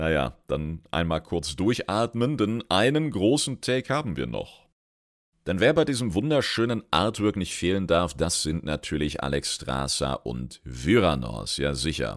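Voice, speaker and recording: Recorded very clean against a silent background, a man talks at a fairly slow pace with vocal fry, very deep, low pitch and very wide pitch swings. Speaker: gaming lore podcaster. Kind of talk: solo lore commentary. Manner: casual, colloquial.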